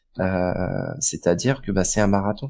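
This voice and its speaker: The recording is very clean, with a silent background. A man of fairly low pitch speaks at a fairly quick pace with ordinary pitch variation. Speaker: fantasy basketball podcast co-host. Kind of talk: casual podcast chat. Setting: live stream.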